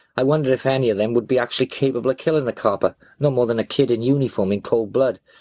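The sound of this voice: An unforced reading voice is heard throughout.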